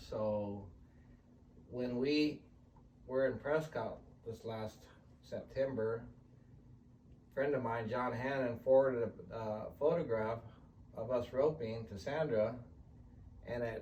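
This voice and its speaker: A man with an American accent, fairly even intonation and long, frequent pauses, with audible room echo. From California. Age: 60s. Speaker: team roper and businessman. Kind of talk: interview testimony.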